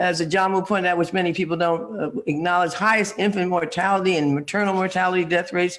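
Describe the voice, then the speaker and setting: With an American accent, a man talks at a very fast pace with hardly any pauses, using a high pitch, fairly even intonation and very even loudness. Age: 70s. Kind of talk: panel discussion.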